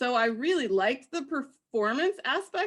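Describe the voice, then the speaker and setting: A woman speaking at a moderate pace. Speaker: professor. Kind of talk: panel discussion. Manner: loud, projecting; animated.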